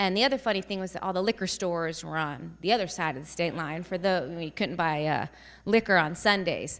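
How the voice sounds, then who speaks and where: A woman's fairly low voice in an American accent, at a fairly quick pace with ordinary pitch variation, on a very clean recording with a silent background. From New Jersey, then Northwest Indiana. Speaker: family physician. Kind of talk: public speech. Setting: stage with audience, microphone. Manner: loud.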